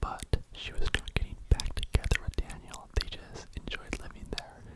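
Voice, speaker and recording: Whispering from a man at a fairly slow pace, with noticeable background noise. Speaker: ASMR YouTuber. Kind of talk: true crime storytelling, ASMR whisper ramble. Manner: whispered, soft.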